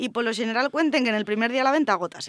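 Against a very clean, silent background, a woman speaks at a high pitch with ordinary pitch variation. The sound is dry and close, with no echo. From rural Asturias. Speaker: fashion columnist. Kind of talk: radio segment on fashion.

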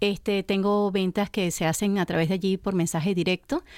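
A woman with a Venezuelan accent on a very clean recording with a silent background. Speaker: gourmet shop owner. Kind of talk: radio interview.

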